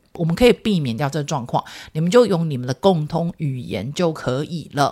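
Her pitch is very deep and low for a woman, with ordinary variation. She has an animated tone. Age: 40s. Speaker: parenting podcast host, mother of twins. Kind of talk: casual solo podcast monologue. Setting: recording studio.

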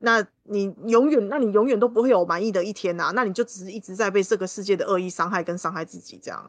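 A woman at medium pitch, very fast pace with hardly any pauses, big swings in loudness, ordinary pitch variation. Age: 30s. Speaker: guest co-host and tarot reader. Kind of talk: casual chat.

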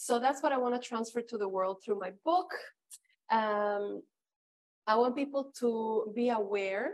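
With a Spanish accent, a woman speaks at a fairly high pitch, leaving long, frequent pauses. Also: ordinary pitch variation. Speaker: flight attendant turned author and entrepreneur. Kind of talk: interview. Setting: online livestream.

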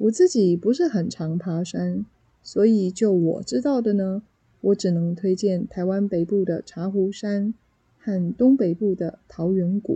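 In a Taiwanese accent, a woman speaks at medium pitch. Her tone is dark and mellow, and somewhat breathy. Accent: Taiwanese Mandarin. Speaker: Mandarin teacher and podcaster. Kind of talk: solo podcast monologue for language learners. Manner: clear, measured pace for learners.

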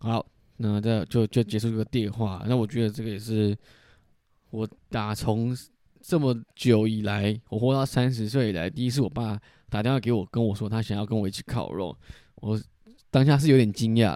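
With a dark, mellow tone and a medium pitch, a man speaks at a moderate pace with ordinary pitch variation and long, frequent pauses, on a very clean recording with a silent background. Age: 30s. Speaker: podcast host, former social worker. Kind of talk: casual solo monologue. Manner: casual, rambling with fillers.

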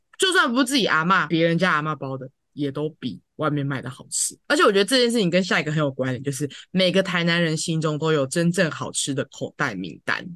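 A woman talks at a very fast pace with lively intonation. Her pitch is very deep and low. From Taiwan, Tainan. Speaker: podcast co-host. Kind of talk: casual chat.

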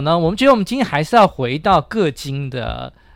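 Very wide pitch swings mark a man's high voice with a bright, sharp tone, recorded very cleanly over a silent background. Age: 50s. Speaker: economics teacher and podcast host. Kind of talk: casual chat.

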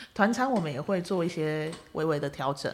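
In a very clean recording with a silent background, a woman with an unremarkable speaking voice talks at a moderate pace and a fairly low pitch. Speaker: podcast host and travel agency owner. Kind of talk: casual interview. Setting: studio. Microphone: professional microphone.

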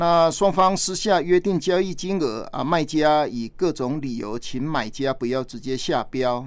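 Here a man with a fairly high pitch and ordinary pitch variation speaks at a fairly slow pace with hardly any pauses. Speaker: police chief. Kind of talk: radio interview. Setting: studio. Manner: formal; halting.

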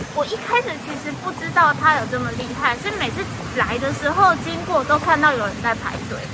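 A fairly quick pace against crowd noise in the background. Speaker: podcaster and stage performer. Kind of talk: casual chat. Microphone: audio taken from video, poorer sound.

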